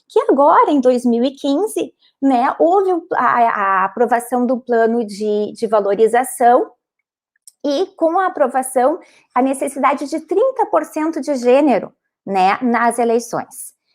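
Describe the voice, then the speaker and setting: With a strong Rio Grande do Sul accent, a woman speaks at a high pitch and a fairly slow pace, her intonation lively. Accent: strong gaúcho border. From southern Brazil, Rio Grande do Sul border region (São Borja). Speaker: lawyer, panelist. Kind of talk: panel talk, personal testimony. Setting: live-streamed online panel. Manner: halting, many false starts.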